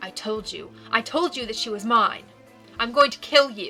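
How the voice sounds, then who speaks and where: A woman growls in a put-on character voice, angry in tone, with a fairly high pitch and lively intonation. She keeps a moderate pace while clear music plays in the background. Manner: angry, threatening.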